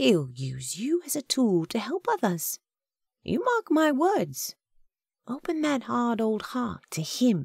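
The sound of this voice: A woman in a put-on character voice speaks at a slow pace, her fairly high pitch swinging very widely, with a slightly husky edge, vocal fry and a slightly mellow tone in a dry, close sound with no echo. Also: very clean recording, silent background.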